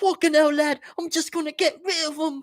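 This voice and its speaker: A shaky, high-pitched put-on character voice with a British accent. The pace is moderate. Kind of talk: casual. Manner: quivering, scared.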